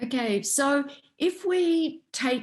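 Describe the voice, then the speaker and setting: Very wide pitch swings run through a somewhat breathy voice with an Australian accent. The background is quiet. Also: woman. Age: 60s. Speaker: researcher and author. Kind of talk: interview.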